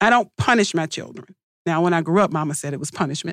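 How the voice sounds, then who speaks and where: Heard on a very clean recording with a silent background and a dry, close sound with no echo, a woman talks in an ordinary speaking voice at a fairly low pitch. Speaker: public defender advocate panelist. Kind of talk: panel discussion.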